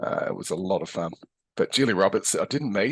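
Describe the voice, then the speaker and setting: An Australian accent marks this man's fairly low voice, with ordinary pitch variation, a dry, close sound with no echo, and a quiet background. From Australia, Adelaide. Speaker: physiotherapist and educator. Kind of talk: interview. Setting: podcast. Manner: hesitant, many fillers.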